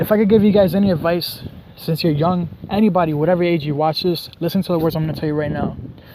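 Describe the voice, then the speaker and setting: Over noticeable background noise, a man talks at a very fast pace in a high voice. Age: 20s. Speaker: vlogger. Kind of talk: casual vlog monologue. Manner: animated.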